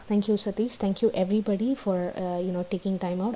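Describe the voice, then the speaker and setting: A woman with a Tamil accent talks at a very fast pace in a medium pitch, her intonation monotone and flat, over noticeable background noise. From South India. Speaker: YouTuber giving immigration advice. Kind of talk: live stream chat. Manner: hesitant, many fillers. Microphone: laptop.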